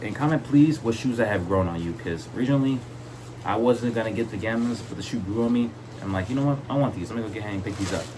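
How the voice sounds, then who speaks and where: A man speaks very fast with an enthusiastic tone at medium pitch and ordinary pitch variation, amid audible room echo and noticeable background noise. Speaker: sneaker collector YouTuber. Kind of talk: casual video vlog, product showcase. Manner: stuttering a lot; enthusiastic, casual.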